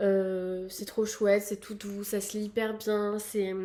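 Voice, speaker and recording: Her voice has a dark, mellow tone at a medium pitch. The woman talks at a moderate pace in a flat monotone. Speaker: book youtuber. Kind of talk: casual vlog. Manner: hesitant with fillers.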